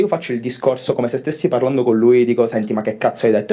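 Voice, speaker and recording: Here a man speaks with ordinary pitch variation. His tone is dark and mellow. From Palermo, Sicily. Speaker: fan calling in. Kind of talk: casual debate. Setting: voice call.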